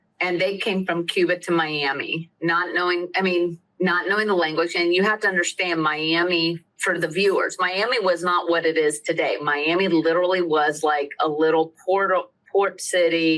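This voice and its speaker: This woman talks at a moderate pace in a Southern accent, her pitch fairly low. Her loudness stays very even, and her intonation is fairly even too. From US South, Lakeland, central Florida. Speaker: attorney. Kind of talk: interview.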